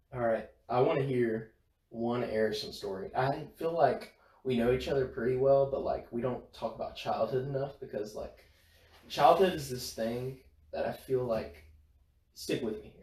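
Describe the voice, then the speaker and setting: The voice is somewhat breathy, delivered at a moderate pace. Its pitch varies in an ordinary way while its loudness swings widely. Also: man, medium pitch for a man. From northern Louisiana, Bossier City. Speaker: college student podcast co-host. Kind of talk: casual chat.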